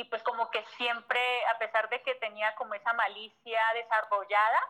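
With a Colombian accent, a woman speaks at a fairly high pitch in a bright, sharp tone. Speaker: entrepreneur. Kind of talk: interview. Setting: phone call. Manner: fast.

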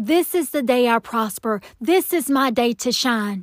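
With a Southern US accent, a woman speaks at a fairly slow pace and a high pitch, her intonation lively and her tone animated and warm, in a very clean recording with a silent background and a dry, close sound with no echo. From Atlanta, Georgia. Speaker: prayer podcast host. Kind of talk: encouraging prayer talk. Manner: animated, warm.

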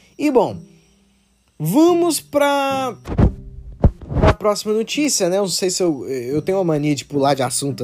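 A man is speaking. His pitch swings very widely. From Brazil, Minas Gerais (Betim). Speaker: podcast host. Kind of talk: casual solo monologue. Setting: countryside. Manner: hesitant with many fillers.

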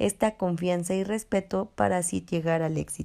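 A woman with a fairly low, dark and mellow voice speaks at a fairly slow pace on a very clean recording with a silent background. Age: 20s. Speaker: social worker presenting a workshop podcast. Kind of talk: scripted presentation. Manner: hesitant with fillers.

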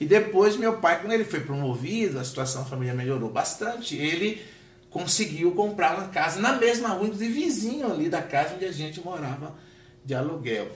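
A man speaks at a moderate pace with lively intonation. The room echo is audible, and background noise is noticeable. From Bahia, Brazil (Salvador). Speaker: pastor. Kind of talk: interview conversation.

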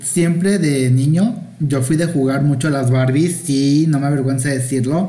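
Speaking at a fairly slow pace with fairly even intonation, a man with a fairly high pitch is heard against audible room echo. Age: 40s. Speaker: guest, friend of host. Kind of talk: casual chat. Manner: campy, playful.

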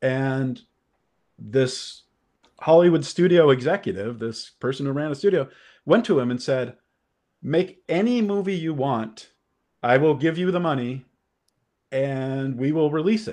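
With a Californian accent and a fairly high pitch, a man has a dark, mellow tone and lively intonation. He talks at a fairly slow pace with long, frequent pauses. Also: quiet background. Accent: Californian American English. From Los Angeles. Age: 50s. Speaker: film critic and podcaster. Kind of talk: casual chat.

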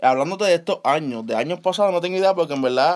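A man speaks at a very fast pace. His voice is high, with ordinary pitch variation. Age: 20s. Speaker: podcast co-host. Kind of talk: casual chat.

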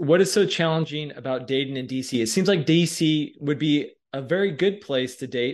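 A man speaks at a moderate pace in an unremarkable speaking voice, fairly high in pitch. The background is quiet. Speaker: podcast host. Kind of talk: casual interview.

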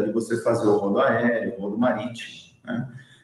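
A man at a moderate pace with lively intonation, amid audible room echo. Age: 40s. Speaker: logistics operations manager. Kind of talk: interview.

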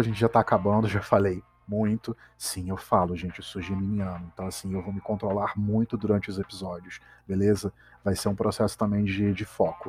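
Over music in the background, a man with a fairly low voice talks at a moderate pace with big swings in loudness, the sound dry and close with no echo. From Brazil, Petrópolis (Rio de Janeiro state). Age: 20s. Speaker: podcast host, gastronomist and grad student. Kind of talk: casual solo podcast monologue. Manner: animated.

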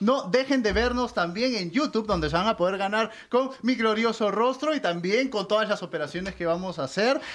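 Talking at a fairly quick pace with hardly any pauses, a man uses ordinary pitch variation. His voice is high in pitch. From Peru. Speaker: podcast host. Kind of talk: casual chat.

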